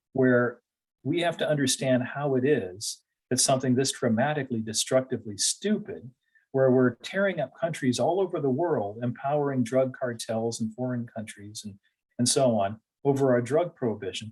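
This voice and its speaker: With ordinary pitch variation and a medium pitch, a man talks at a moderate pace. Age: 60s. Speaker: political candidate. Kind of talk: interview. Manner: hesitant, many fillers.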